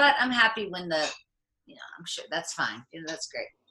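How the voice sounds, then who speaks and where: A woman with an American accent and a bright, sharp tone speaks at a medium pitch with very wide pitch swings. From US, Pittsburgh area, Pennsylvania. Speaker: content creator. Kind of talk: casual chat.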